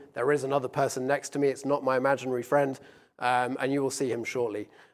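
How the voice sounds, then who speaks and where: Speaking in a British accent, a man rattles along at a very fast pace. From UK. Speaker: business executive. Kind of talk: conference presentation. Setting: stage with live audience and stream.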